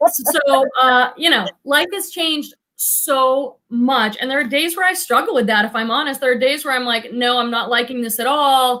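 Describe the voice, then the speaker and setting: A woman with an American accent uses a raised, projected voice, high in pitch and bright and sharp in tone. She speaks with hardly any pauses and ordinary pitch variation. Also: moderate pace. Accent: Boston accent, comes out on some words. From Boston area. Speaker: psychotherapist and reseller. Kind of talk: casual chat. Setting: live stream video call.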